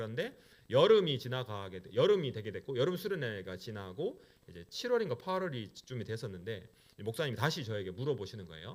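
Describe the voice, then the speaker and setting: A man with a medium pitch speaks very fast with a strong Gyeongsang accent. His pitch swings very widely. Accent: Gyeongsang dialect, still strong. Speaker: pastor. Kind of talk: sermon. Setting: church.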